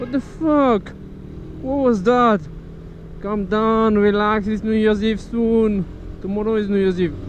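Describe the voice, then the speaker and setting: Amid audible room echo, a man with a high-pitched voice speaks at a fairly slow pace with long, frequent pauses. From France. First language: French. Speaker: motorcycle vlogger. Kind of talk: casual vlog while riding. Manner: casual, halting.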